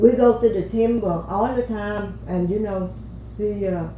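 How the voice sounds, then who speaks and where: A woman speaks at a very slow pace. Noticeable background noise and audible room echo are present. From Vietnam. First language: Vietnamese. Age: old. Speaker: podcast guest, host's grandmother. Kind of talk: life story interview. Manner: halting.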